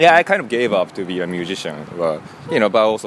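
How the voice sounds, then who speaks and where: Very fast speech comes from a man with a Japanese accent. Noticeable background noise is present. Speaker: sound engineer. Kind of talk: casual interview. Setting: live music venue. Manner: halting.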